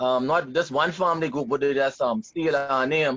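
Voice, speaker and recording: A man speaks with a fairly high voice and ordinary pitch variation. Music plays in the background. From Bahamas, Nassau. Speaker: junkanoo dancer. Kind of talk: casual chat. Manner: halting.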